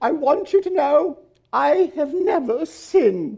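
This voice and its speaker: Fairly slow delivery in a put-on character voice pitched high. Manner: prim, self-righteous.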